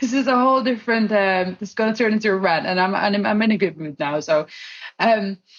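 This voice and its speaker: A woman talks at a very fast pace. Her pitch sits at a medium level and varies in an ordinary way. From Netherlands. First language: Dutch. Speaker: solutions engineer and tech community organiser. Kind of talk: podcast interview.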